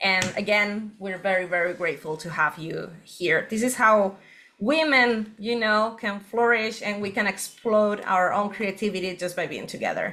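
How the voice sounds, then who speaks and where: A bright, sharp tone with a Spanish accent, moderate pace, ordinary pitch variation and hardly any pauses. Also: woman, medium pitch for a woman. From Spain. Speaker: workshop co-host. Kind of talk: online workshop session.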